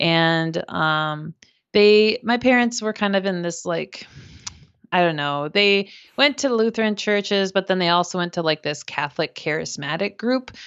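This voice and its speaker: A woman with an American accent has an unremarkable speaking voice at a medium pitch. She talks at a moderate pace with lively intonation. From US Midwest, Minnesota. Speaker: podcast host, guest. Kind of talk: casual interview conversation.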